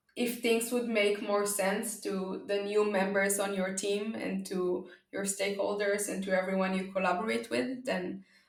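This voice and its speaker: Amid audible room echo, a woman at a medium pitch speaks at a moderate pace with hardly any pauses. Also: ordinary pitch variation. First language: not English (English is third language). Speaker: data observability company founder. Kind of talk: podcast interview. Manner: hesitant, many fillers.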